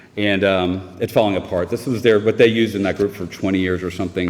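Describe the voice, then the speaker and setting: A man with a fairly low voice and an American accent speaks over noticeable background noise. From US South, Raleigh, North Carolina. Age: 50s. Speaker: recovering alcoholic speaker. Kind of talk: recovery meeting testimony. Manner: halting.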